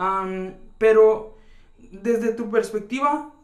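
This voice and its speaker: A man with a high voice speaks amid noticeable background noise and audible room echo. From rural Mexico. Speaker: podcast host. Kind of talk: casual conversation.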